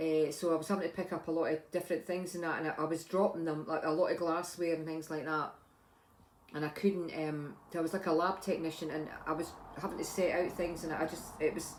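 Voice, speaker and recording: In an Edinburgh accent, a woman talks fairly quickly with a fairly low pitch and a monotone, flat delivery. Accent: Scottish (Edinburgh). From Scotland, Edinburgh. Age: 60s. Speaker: vlogger, retired lab technician. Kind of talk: casual vlog talk. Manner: halting, many fillers and restarts.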